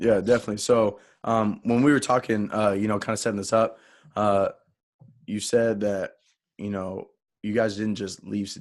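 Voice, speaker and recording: Moderate pace with long, frequent pauses, fairly even intonation and an American accent, against a quiet background. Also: man, fairly low pitch for a man. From Texas. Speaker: podcast host. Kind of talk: podcast interview.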